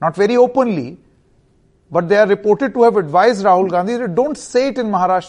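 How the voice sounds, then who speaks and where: A man talks at a fairly quick pace with an Indian accent. His pitch is high, with ordinary variation. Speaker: TV debate host. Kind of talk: news debate moderation, formal. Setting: studio.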